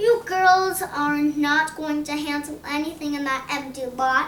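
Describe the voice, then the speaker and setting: A woman performs a put-on character voice at a high pitch. Background noise is clearly audible. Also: fairly slow pace. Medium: read story. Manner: anxious, clipped.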